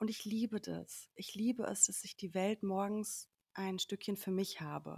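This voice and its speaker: Somewhat breathy, a woman speaks at a medium pitch and a fairly slow pace, in a monotone, flat way. The recording is very clean and silent in the background, with a dry, close sound and no echo. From Sauerland, Germany. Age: 30s. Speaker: media professional and coach in training. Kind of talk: casual chat. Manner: halting, many fillers.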